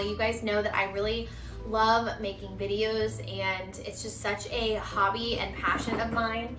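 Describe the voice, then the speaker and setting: A woman speaks at a moderate pace with noticeable background noise. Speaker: lifestyle vlogger. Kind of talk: casual vlog chat. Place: home room. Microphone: camera far.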